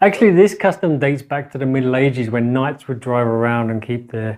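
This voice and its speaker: A man speaks with a London accent. The background is quiet. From London, England. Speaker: guest English speaker on a language-learning channel. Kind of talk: casual talk to camera, English lesson.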